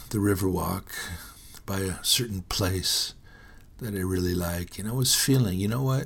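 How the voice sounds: A low-pitched man with an American accent speaks at a moderate pace. His voice shows vocal fry and ordinary pitch variation.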